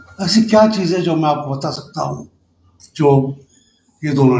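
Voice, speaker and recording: A man with vocal fry. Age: 70s. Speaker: political commentator. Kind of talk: panel discussion.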